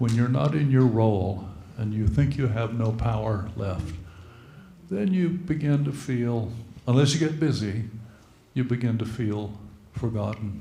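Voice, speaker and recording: Over audible room echo, a man with a medium pitch and a dark, mellow, somewhat breathy tone speaks at a fairly slow pace with lively intonation. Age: old. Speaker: retired clergy. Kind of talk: church meeting remarks.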